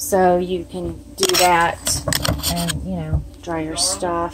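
A woman with a Southern US accent talks over noticeable background noise. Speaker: RV owner. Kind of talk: casual talk to camera. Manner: casual, chatty. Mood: cheerful, excited. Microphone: phone near.

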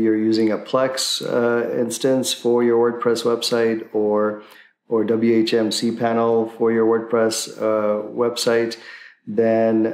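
There is audible room echo as a man speaks very slowly. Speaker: tech tutorial host. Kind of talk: tutorial. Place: home room.

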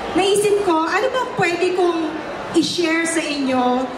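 A woman speaks over noticeable background noise. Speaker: guest. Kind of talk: speech. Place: stage.

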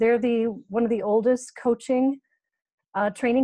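Against a quiet background, a woman with an American accent speaks in a fairly high pitch and a dark, mellow tone. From United States. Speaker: business and team coach, former professional basketball player. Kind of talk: workshop presentation. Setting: video call.

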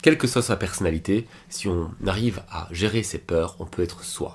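The voice is somewhat breathy, with ordinary pitch variation. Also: man. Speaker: book reviewer and life coach; book reviewer. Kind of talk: book summary video. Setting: recording at computer. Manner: fast; casual, self-correcting. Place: home room.

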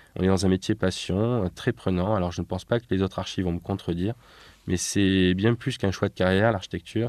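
Speaking at a fairly quick pace, a man with a very deep, low pitch and a dark, mellow tone keeps his intonation fairly even, heard dry and close with no echo over a quiet background. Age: 30s. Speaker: architect. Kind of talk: interview. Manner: hesitant, frequent fillers.

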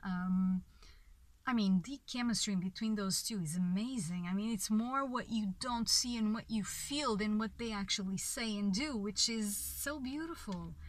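Somewhat breathy and fairly high in pitch, a woman with a Portuguese accent speaks at a moderate pace with ordinary pitch variation, the sound dry with no echo. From Portugal. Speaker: film reviewer. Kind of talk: video review monologue. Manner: halting, many fillers. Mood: enthusiastic, reflective. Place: car. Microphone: phone near.

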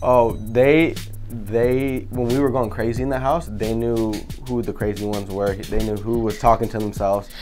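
A man with an American accent, moderate pace and fairly even intonation, faint music in the background. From Sacramento, California. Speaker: reality TV cast member. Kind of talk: casual interview answer. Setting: studio. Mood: relaxed, amused. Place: studio.

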